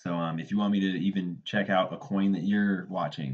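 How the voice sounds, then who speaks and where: A man with fairly even intonation. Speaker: crypto trader, YouTuber. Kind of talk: tutorial. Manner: fast; casual, filler-heavy.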